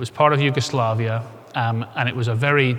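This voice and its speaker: Scottish-accented male speech, medium in pitch and monotone, at a fairly quick pace over noticeable background noise. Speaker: insolvency expert speaker. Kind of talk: conference presentation.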